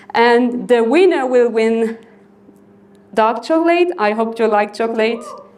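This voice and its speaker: A woman with a French accent and a fairly high pitch, amid audible room echo. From northern France, Lille. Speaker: software developer. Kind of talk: conference talk. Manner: halting.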